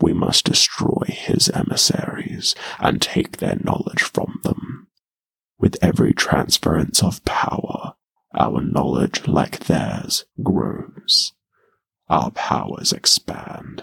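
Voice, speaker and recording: A man puts on a character voice and speaks at a very slow pace. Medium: audio drama. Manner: commanding, ominous, slow.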